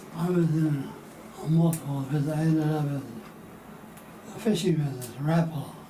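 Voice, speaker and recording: A soft-spoken man talks at a fairly quick pace in a fairly high pitch, with long, frequent pauses. Noticeable background noise is present. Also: ordinary pitch variation. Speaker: retired company president and oil painter. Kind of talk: interview answer.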